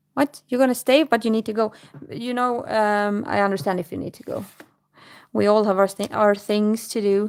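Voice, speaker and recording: A fairly high female voice with a Swedish accent, ordinary pitch variation, big swings in loudness and a moderate pace. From Sweden. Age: 30s. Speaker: livestreamer. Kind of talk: casual chat. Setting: live stream. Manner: halting.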